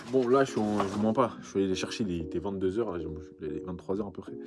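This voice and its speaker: Over noticeable background noise, a man with a fairly low pitch talks at a very fast pace. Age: 20s. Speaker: vintage clothing shop owner. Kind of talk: vlog monologue to camera. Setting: backstage after a pop-up event. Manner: casual, halting with repetitions.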